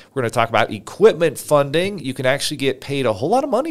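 In a very clean recording over a silent background, a man is talking. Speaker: podcast host, business funding entrepreneur. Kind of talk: solo podcast presentation. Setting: livestream studio. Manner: loud; energetic.

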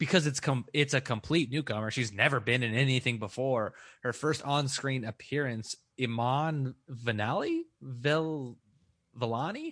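Against a quiet background, a man with an unremarkable speaking voice talks at a medium pitch and a fairly slow pace with ordinary pitch variation. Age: 30s. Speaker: podcast host. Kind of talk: casual chat.

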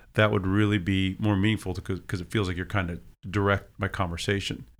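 This man has an ordinary speaking voice with fairly low pitch. His intonation is fairly even. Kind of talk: casual chat.

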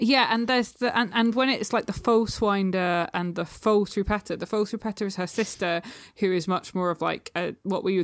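A woman with a British accent, vocal fry, ordinary pitch variation and a moderate pace, in a very clean recording with a silent background. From UK. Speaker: poet and small press publisher. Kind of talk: casual chat.

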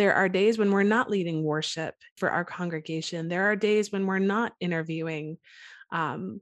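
A woman talks at a fairly quick pace in a normal speaking voice. Her intonation stays fairly even over a quiet background. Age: 30s. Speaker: church worship leader and mom. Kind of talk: casual faith-based interview chat.

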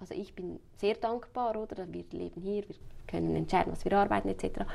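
This is a woman speaking. Her pace is moderate. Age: 30s. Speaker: funeral planner. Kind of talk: interview.

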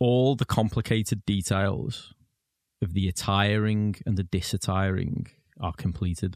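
A man with a British accent talks at a fairly slow pace, with a fairly low pitch and fairly even intonation. The recording is very clean, with a silent background. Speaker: charity staff member reading poetry. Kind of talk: unhurried reading aloud of a short, still winter poem. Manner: slow, hushed and measured, letting each image settle.

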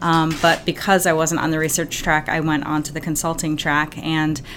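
A woman's very deep, low voice at a very fast pace, with noticeable background noise. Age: 40s. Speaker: executive coach and company founder. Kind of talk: interview.

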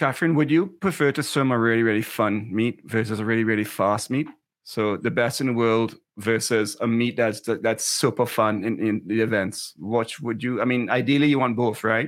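A man with an ordinary speaking voice talks at a moderate pace and medium pitch, with ordinary pitch variation and very even loudness, on a very clean recording with a silent background. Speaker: swim coach and co-host. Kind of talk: casual chat.

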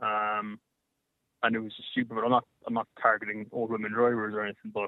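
A man with an Irish accent at medium pitch, fairly quick and monotone, with flat intonation throughout. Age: 30s. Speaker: caller. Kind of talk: talk radio phone-in.

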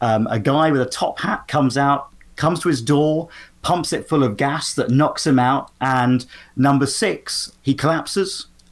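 The speaker talks at a fairly slow pace with a British accent. The recording is very clean, with a silent background. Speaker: podcaster and TV fan. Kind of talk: casual interview chat.

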